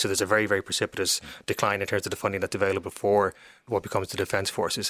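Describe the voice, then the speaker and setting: A man with an Irish accent speaks at a very fast pace in a fairly low pitch, his tone bright and sharp. The sound is dry and close with no echo, a very clean recording over a silent background. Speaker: historian and author. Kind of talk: interview about history. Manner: repeats words often.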